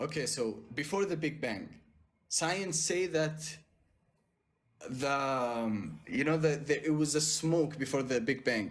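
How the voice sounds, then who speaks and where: A man with a non-native accent and fairly high pitch, at a very slow pace with ordinary pitch variation, long, frequent pauses and audible room echo. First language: not English. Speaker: caller debating for God. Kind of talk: debate. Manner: halting.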